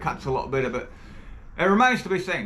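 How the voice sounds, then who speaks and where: A man with a New Zealand accent and a high pitch talks at a very fast pace, with audible room echo and noticeable background noise. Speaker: tool reviewer, video creator. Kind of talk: product review demo.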